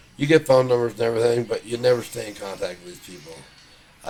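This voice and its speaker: Noticeable background noise runs behind a man talking at a medium pitch. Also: big swings in loudness. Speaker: rehab patient. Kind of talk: interview.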